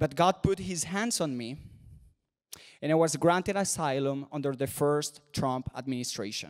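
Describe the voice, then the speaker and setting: A man with a Spanish accent, fairly high in pitch, at a moderate pace with ordinary pitch variation and a dry, close sound with no echo. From Venezuela. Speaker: commentator. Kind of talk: speech. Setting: stage with audience.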